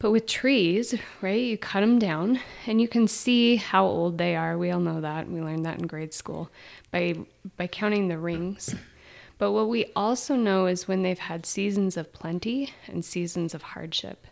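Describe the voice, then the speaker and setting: A plain, everyday voice with ordinary pitch variation moves at a moderate pace on a very clean recording with a silent background. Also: woman, medium pitch for a woman. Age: 40s. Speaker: therapist and podcast co-host. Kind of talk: reflective casual conversation.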